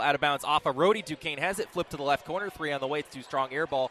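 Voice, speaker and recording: Energetic in tone, a man races along at a very fast pace and a fairly high pitch. The sound is dry and close with no echo, though noticeable background noise is present. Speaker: sports play-by-play announcer. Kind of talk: live basketball play-by-play broadcast. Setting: radio broadcast from a basketball game. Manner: fast, energetic.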